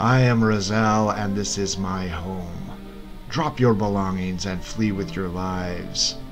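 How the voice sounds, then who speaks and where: Over loud music in the background, a man booms in a put-on character voice at a fairly low pitch and a fairly slow pace. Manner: booming, threatening.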